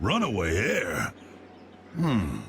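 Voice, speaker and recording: Over clear background noise, a man uses a put-on character voice that is gruff and raspy. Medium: cartoon. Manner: gruff, folksy.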